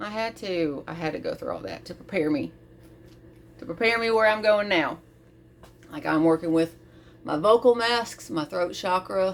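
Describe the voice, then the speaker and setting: Speaking at a moderate pace with lively intonation, a woman with a medium-pitched voice leaves long, frequent pauses. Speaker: vlogger. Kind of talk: personal reflective monologue. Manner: animated, casual.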